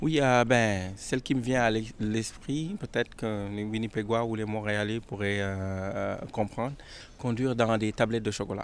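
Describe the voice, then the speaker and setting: Speaking at a fairly slow pace with a Senegalese accent, a man holds a medium pitch and fairly even intonation. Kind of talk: interview answer.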